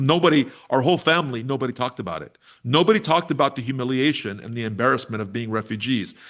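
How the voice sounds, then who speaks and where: An American-accented man at a very fast pace, medium in pitch, with lively intonation over a quiet background. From New York City, the Bronx. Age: 60s. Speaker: activist and musician. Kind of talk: interview conversation.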